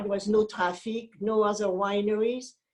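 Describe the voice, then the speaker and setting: Speaking with a French accent, a woman talks at a fairly slow pace in a fairly high voice. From France. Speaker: wine importer. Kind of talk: interview.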